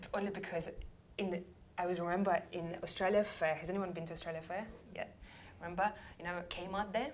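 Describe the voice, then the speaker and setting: In a Russian accent, a woman speaks very fast at a fairly low pitch with fairly even intonation. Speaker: sales coach. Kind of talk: workshop talk.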